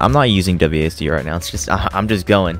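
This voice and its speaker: A man's very deep, low voice at a very fast pace, with music in the background. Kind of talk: video game review voiceover. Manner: casual, joking.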